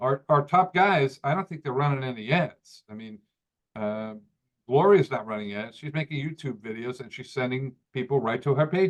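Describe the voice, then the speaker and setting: With an American accent, a man speaks at medium pitch with ordinary pitch variation. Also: moderate pace, big swings in loudness. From New York. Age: 60s. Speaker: company owner presenting to network marketers. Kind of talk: live training presentation. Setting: video call. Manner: halting, many repeated words and fillers.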